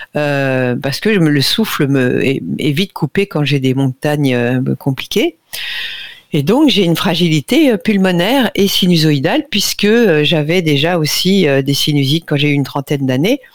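In a dry, close sound with no echo, a woman talks at a fairly slow pace and very deep, low pitch. Her intonation is lively while her loudness stays very even. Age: 60s. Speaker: nutrition radio columnist. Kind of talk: casual chat.

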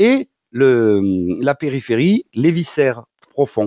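A man with a southern French accent talks at a very slow pace. The sound is dry and close, with no echo. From southwestern France. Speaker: doctor and osteopath. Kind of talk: radio advice segment. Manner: halting, many repetitions.

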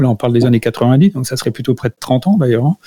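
The voice is a man's. It has a medium pitch. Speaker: integrative health expert and entrepreneur. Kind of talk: educational radio talk. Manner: hesitant, with repeated words.

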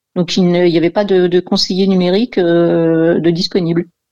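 A normal speaking voice from a woman, fairly low-pitched, fairly slow, with fairly even intonation. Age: 50s. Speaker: job-seeking radio caller. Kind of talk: call-in consultation.

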